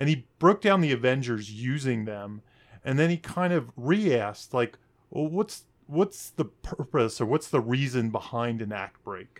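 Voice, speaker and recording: With a Baltimore accent, a man talks at a fairly slow pace in a medium pitch with lively intonation, on a very clean recording with a silent background. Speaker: screenwriting podcast co-host. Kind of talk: casual chat.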